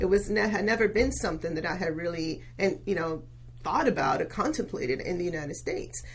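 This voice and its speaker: A woman speaks at a very fast pace with audible room echo. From Venezuela. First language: Spanish. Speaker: local politician. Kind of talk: podcast interview.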